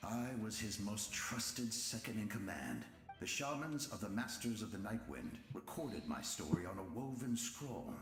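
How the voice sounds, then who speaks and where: In a put-on character voice, a man speaks resonantly at a medium pitch and a moderate pace, with a clear echo around him. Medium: video game. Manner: solemn, weighty.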